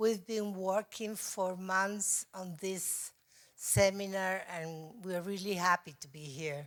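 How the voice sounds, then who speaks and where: Speaking with a Spanish accent, a woman keeps a medium pitch, a fairly slow pace, and fairly even intonation. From Spain, Madrid. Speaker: mental health advocacy organization president. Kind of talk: conference presentation read from notes. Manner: halting, hesitant.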